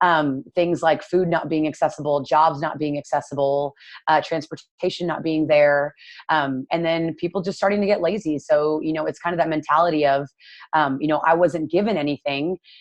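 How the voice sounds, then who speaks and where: A woman speaks with a Texan accent. Her pitch is very deep and low. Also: fairly even intonation, moderate pace, quiet background. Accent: Texan American English. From Texas, Dallas. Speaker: nutrition coach. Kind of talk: casual interview chat.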